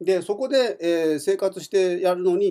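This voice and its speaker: A man's high-pitched voice with a dark, mellow tone against a quiet background. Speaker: community radio host; radio show host. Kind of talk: radio monologue; radio talk storytelling. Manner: many fillers, relaxed. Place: studio. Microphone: studio mic.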